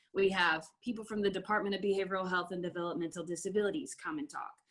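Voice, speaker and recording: The speaker is a woman. Her pitch is medium. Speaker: forensic peer mentorship trainer. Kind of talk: conference presentation.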